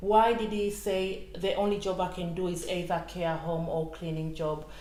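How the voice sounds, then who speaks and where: The speaker keeps a moderate pace and fairly even intonation, with noticeable background noise and audible room echo. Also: woman, fairly low pitch for a woman. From Tanzania. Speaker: retired civil servant and equality campaigner. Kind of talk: interview.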